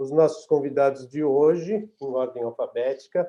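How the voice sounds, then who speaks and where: At a moderate pace, a man talks in a dark, mellow tone at a fairly high pitch. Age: 60s. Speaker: webinar moderator, opera festival artistic director. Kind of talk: webinar moderation. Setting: video call from home office.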